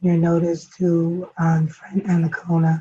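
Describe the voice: Somewhat breathy and dark, mellow in tone, a woman speaks in a flat monotone at a fairly slow pace and fairly low pitch.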